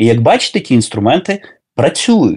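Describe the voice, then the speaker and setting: His pitch swings very widely, with vocal fry. The man is heard over a quiet background. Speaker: soldier, former pediatrician and lecturer. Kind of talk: interview. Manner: hesitant, with filler sounds.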